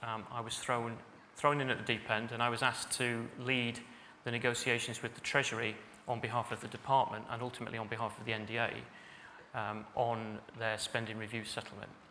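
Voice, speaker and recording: Audible room echo surrounds a man speaking at medium pitch. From northern England, Salford. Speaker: senior civil servant. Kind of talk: conference speech. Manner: hesitant, many fillers (um, uh).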